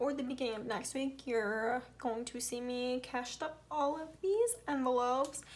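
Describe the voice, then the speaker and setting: In an American accent, a woman speaks with a high pitch. Her pace is moderate and her pitch variation ordinary. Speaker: budgeting vlogger. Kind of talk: casual tutorial. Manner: casual, thinking aloud while counting.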